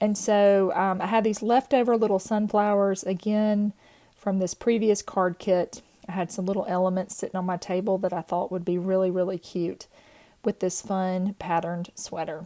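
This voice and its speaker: A woman with a Southern US accent talks at a medium pitch and moderate pace. Her intonation is monotone and flat, and the recording is very clean with a silent background. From US South. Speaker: card-making crafter. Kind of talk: tutorial. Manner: casual, chatty.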